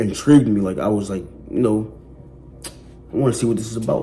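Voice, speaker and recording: Room echo can be heard around a man of medium pitch. He talks at a fairly quick pace with ordinary pitch variation. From West Philadelphia. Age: 20s. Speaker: person in addiction recovery. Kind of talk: testimony. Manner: casual, conversational with fillers.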